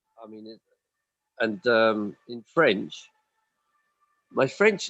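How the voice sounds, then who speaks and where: Here a man talks with a Welsh accent. The sound is dry and close, with no echo. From Wales. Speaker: stage actor. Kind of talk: casual interview chat. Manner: halting, many repeated words and fillers.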